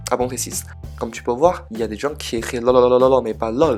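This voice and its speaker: A man with a Chinese accent and a medium pitch talks at a very fast pace. Music plays in the background. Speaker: Chinese language teacher YouTuber. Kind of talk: casual educational talk to camera.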